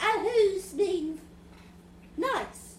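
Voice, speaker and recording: A woman does a squeaky, put-on character voice at an extremely high pitch. Clear background noise and a slight echo sit behind her. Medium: stage play. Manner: theatrical.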